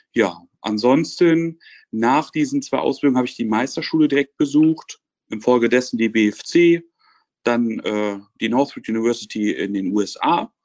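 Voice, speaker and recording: Speaking at a fairly slow pace, a man has an unremarkable speaking voice at a medium pitch. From Lower Rhine region, Germany. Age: 20s. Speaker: car dealership trainee and business student. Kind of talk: interview.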